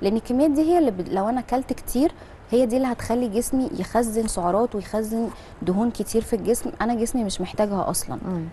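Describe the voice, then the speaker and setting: A woman with an Egyptian accent talks at a fairly quick pace in a fairly high pitch. Her intonation is lively over light background noise. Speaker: clinical nutritionist; guest. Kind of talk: health advice segment on TV show. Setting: TV studio. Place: studio. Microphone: lapel.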